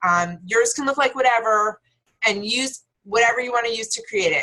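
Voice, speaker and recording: This is a woman with an ordinary speaking voice. She talks at a moderate pace. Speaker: team leader. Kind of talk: team call presentation.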